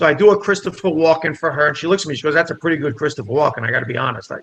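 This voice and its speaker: A man with a New Jersey accent talks at a very fast pace. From New Jersey, Italian immigrant family. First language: Italian. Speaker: comedian. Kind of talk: casual chat. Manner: animated.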